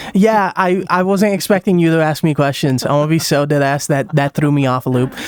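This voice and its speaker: A man's fairly high voice at a fairly quick pace, with very even loudness, hardly any pauses, ordinary pitch variation, and noticeable background noise. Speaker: interviewer and small streamer. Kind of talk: casual interview. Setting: online VR chat.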